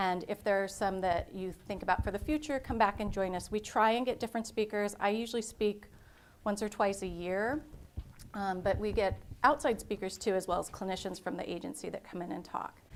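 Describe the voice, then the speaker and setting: This woman talks at a fairly quick pace. Her pitch is medium, with ordinary pitch variation. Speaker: clinical social worker. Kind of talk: lecture. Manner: fast.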